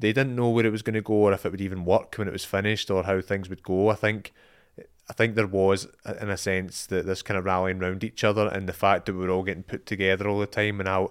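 Very fast and monotone with flat intonation, a man with a Scottish accent speaks at a fairly low pitch on a very clean recording with a silent background. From Scotland. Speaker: filmmaker. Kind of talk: podcast interview.

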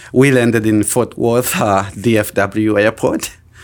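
There is noticeable background noise behind this man. His voice has a fairly low pitch. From Burundi, raised in Tanzania refugee camps. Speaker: truck driver and trucking company owner. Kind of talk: interview. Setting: studio.

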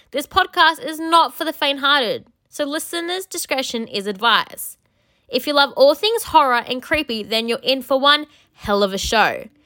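Her voice is raised and projected, high in pitch, with very wide pitch swings and a bright, sharp tone. The woman keeps a moderate pace in a very clean recording with a silent background. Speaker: podcast host. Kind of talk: promo. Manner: theatrical, spooky; animated.

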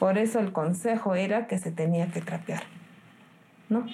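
Somewhat breathy and dark, mellow in tone, a woman speaks at a medium pitch. She keeps a moderate pace with ordinary pitch variation. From Peru, Cerro de Pasco. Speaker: nurse. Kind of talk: interview.

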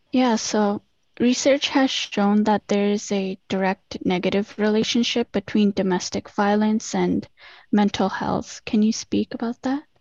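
This woman has a plain, everyday voice, fairly high in pitch. She speaks at a fairly slow pace with fairly even intonation. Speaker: student podcast co-host. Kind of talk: interview.

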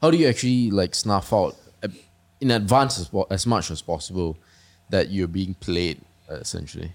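A man talks at a moderate pace and fairly low pitch with lively intonation. His speech has long, frequent pauses. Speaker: podcast host. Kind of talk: casual interview. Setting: studio.

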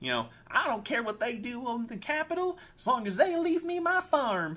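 A man puts on a character voice at an extremely high pitch. His pitch swings very widely, and his pace is moderate. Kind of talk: hick, jokey. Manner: jokey, carefree.

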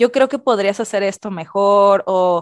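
A woman at a very slow pace, fairly high in pitch with ordinary pitch variation. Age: 30s. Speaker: podcast co-host. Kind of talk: casual chat.

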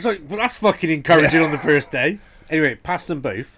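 A man with a Brummie accent and very wide pitch swings. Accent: Brummy (Birmingham). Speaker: podcast host. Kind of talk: casual chat.

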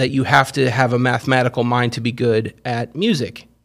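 With a plain, everyday voice, a man speaks at medium pitch. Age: 40s. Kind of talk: casual chat. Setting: studio.

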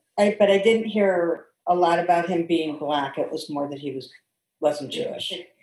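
Speaking at a moderate pace, a woman has a fairly low pitch and ordinary pitch variation. Her loudness swings widely, and she has an unremarkable speaking voice. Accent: American. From St. Louis, Missouri, US Midwest. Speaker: interview guest. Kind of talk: casual interview.

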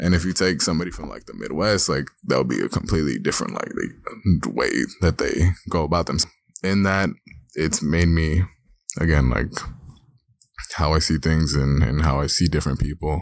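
With a very deep, low pitch and vocal fry, a man speaks at a moderate pace, using ordinary pitch variation and long, frequent pauses. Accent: American. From Los Angeles. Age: 20s. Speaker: podcast co-host, student. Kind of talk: casual chat.

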